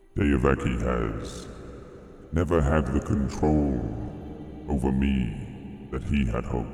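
A man puts on a booming character voice with a solemn tone and long, frequent pauses. Clear echo and clear background noise surround him. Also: fairly slow pace. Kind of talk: epic fantasy oracle speech. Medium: actual play. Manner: slow, solemn, clipped.

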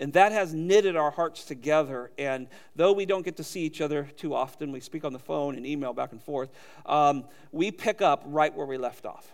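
An unremarkable speaking voice, a man with fairly high pitch talks at a moderate pace with an American accent and ordinary pitch variation. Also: big swings in loudness. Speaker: seminary teacher. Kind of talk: introduction. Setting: church.

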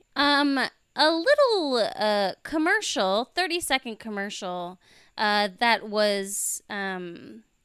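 In an American accent, a woman with a fairly high, bright, sharp voice speaks very slowly with lively intonation on a very clean recording with a silent background. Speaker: podcast co-host. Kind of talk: casual chat.

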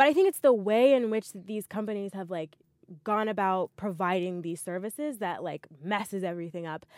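Loudness swings widely as a woman with an unremarkable speaking voice talks fairly quickly at a medium pitch with ordinary pitch variation, in a dry, close sound with no echo and a very clean recording with a silent background. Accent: American. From US South (Montgomery, Alabama). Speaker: podcast co-host, software engineer. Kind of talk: casual chat. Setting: recording booth in a library.

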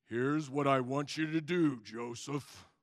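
A man's put-on character voice, fairly high in pitch, at a moderate pace. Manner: solemn, commanding.

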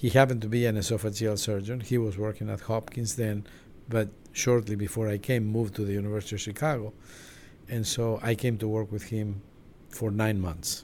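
The speaker moves at a fairly quick pace in a monotone, flat intonation. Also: man, fairly low pitch for a man. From Argentina. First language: Spanish. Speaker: surgeon. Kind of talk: interview.

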